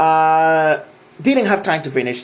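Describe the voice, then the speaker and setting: A man with a non-native accent talks at a fairly quick pace in a fairly high pitch, with ordinary pitch variation and an animated tone. Noticeable background noise runs under his voice. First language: not English. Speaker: gaming vlogger. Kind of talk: casual monologue. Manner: halting, many repetitions.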